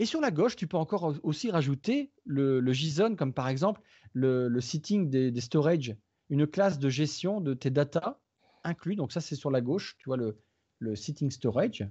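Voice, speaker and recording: A man speaks at a moderate pace with lively intonation. His voice is somewhat breathy and fairly high-pitched. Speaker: tech podcast co-host. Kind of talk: casual tech discussion with guided software walkthrough. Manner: animated.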